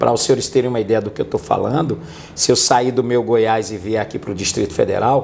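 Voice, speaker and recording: Noticeable background noise runs under a man's fairly quick speech. His pitch is medium, with ordinary variation. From Brazil, rural Northeast. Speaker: police chief and city councillor. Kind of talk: interview on public security.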